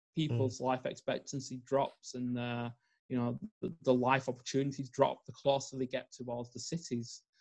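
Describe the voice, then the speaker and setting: Somewhat breathy and medium in pitch, a man with a Northern English accent speaks at a moderate pace with monotone, flat intonation. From northern England. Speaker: environmental psychologist and life coach. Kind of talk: podcast interview.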